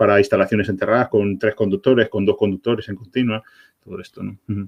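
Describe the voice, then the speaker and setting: Speaking at a fairly quick pace, a man talks in a fairly low pitch. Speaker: product manager. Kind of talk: webinar Q&A presentation. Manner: fast; animated.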